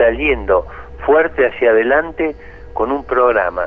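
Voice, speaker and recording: Noticeable background noise sits behind someone talking fairly slowly. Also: man. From Argentina. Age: 70s. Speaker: economist. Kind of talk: interview.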